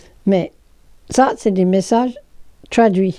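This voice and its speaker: A woman with an English accent, medium pitch, ordinary pitch variation and a dark, mellow tone. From England. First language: English (speaking French). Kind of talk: explanatory talk.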